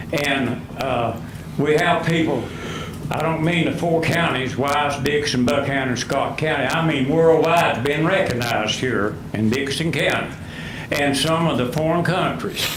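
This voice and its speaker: With audible room echo and noticeable background noise, the speaker talks in an Appalachian accent at a fairly slow pace with ordinary pitch variation. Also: man, fairly high pitch for a man. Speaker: retired coal miner speaking at public hearing. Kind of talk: public comment at county board meeting. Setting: public hearing with microphone. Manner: loud.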